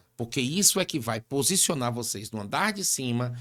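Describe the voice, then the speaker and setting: A man at medium pitch with an ordinary speaking voice, a moderate pace and ordinary pitch variation. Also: very clean recording, silent background. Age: 50s. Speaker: barbershop business mentor. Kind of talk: interview conversation.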